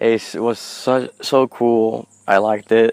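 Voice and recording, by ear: Speaking slowly with vocal fry, a man has a medium pitch, fairly even intonation, a slightly mellow tone and a clear, smooth tone.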